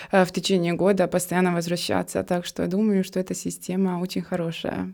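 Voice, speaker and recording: Her tone dark and mellow, a woman with a non-native accent speaks at medium pitch with fairly even intonation. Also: very clean recording, silent background. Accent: foreign accent in Russian. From Bosnia and Herzegovina, Trebinje. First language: Serbian (speaking Russian). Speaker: graduate student. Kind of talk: interview. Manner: hesitant, many fillers.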